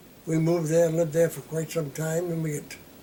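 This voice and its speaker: Someone with an American accent is heard over noticeable background noise. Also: man. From Massachusetts, Hopkinton. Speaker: oral history interviewee. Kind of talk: interview.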